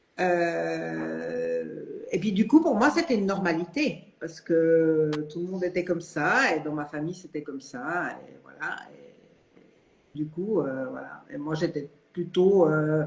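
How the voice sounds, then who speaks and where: Speaking very slowly over noticeable background noise, a woman's voice swings a lot in loudness. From Switzerland. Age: 60s. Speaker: retiree, coaching client. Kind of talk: live interview testimony. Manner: hesitant, many fillers.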